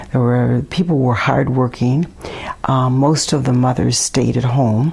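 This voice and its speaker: With an Upper Midwest accent, a woman speaks in a very deep, low voice with fairly even intonation and very even loudness over noticeable background noise. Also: fairly slow pace. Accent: Upper Midwest American. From Milwaukee, Wisconsin. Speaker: neighborhood resident interviewee. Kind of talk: oral history interview. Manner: hesitant, many fillers.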